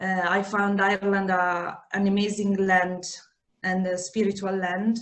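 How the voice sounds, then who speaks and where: In an Italian accent, the words come at a fairly slow pace with audible room echo. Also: woman. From Italy. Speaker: yoga teacher and menstrual cycle therapist. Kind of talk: podcast interview. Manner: halting, many fillers.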